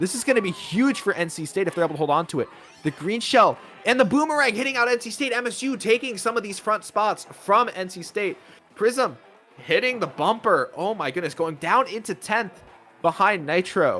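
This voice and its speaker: A man's raised, projected voice, high-pitched, with lively intonation and a fairly quick pace. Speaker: esports caster. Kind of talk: live commentary. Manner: fast, stumbling over words.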